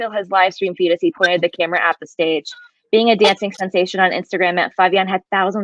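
The clip has an unforced reading voice. The background is quiet.

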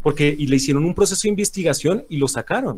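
The pace is very fast. The intonation is lively. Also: man. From Colombia. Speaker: debate guest. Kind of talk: heated debate.

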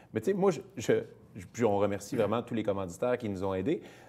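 A man's voice with very wide pitch swings. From Quebec, Saint-Jean-sur-Richelieu; Quebec. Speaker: comedian and charity spokesperson; comedian, charity spokesperson. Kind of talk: casual interview. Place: studio.

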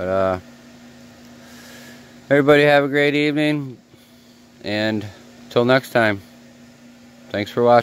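At a moderate pace, a man speaks with ordinary pitch variation and long, frequent pauses in a dry sound with no echo. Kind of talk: casual vlog chat. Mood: relaxed sign-off. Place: workshop.

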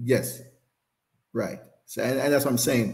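A man with a Jamaican accent speaks in a dark, mellow tone. His voice is somewhat breathy, with fairly even intonation. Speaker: former sprinter; interview guest, former coach. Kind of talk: casual interview. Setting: live stream. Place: home room.

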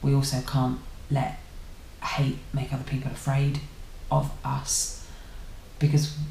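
A woman with an English accent at a moderate pace, with long, frequent pauses, audible room echo and light background noise. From England. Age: 30s. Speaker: YouTuber; vlogger. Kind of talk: casual vlog monologue. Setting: at home. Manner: halting. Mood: reflective, thoughtful. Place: home room. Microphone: webcam.

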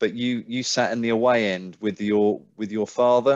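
Over a quiet background, a man speaks at a fairly slow pace with a medium pitch. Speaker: sports podcast host. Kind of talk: casual interview. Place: home room. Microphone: headset.

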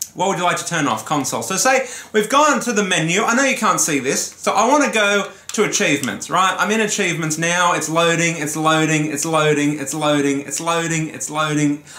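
With audible room echo, a man talks in a high pitch with hardly any pauses. His intonation is lively. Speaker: gaming YouTuber. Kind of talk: profanity-laced solo rant to camera about a console's slow interface. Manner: exasperated, swearing explosively; heated and ranting, building frustration. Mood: annoyed, ranting, swearing. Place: home room. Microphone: camera far.

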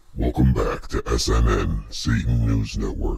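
Monotone, flat intonation in a man's very deep, low voice. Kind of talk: mock news anchor delivery. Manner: theatrically disgusted, then gloating and sinister; resentful toward heaven.

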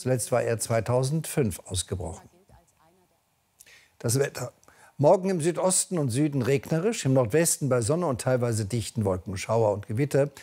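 A man talks at a moderate pace in a dark, mellow tone that is somewhat breathy. His intonation is lively, broken by long, frequent pauses. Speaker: news anchor and chief presenter. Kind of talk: TV news bulletin read. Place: studio.

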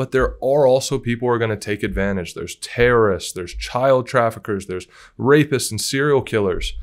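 Over a quiet background, a man with a medium pitch talks fairly quickly in an enthusiastic tone, his pitch varying in an ordinary way. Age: 20s. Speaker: interviewer. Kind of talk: interview. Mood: warm, admiring. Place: studio. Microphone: studio mic.

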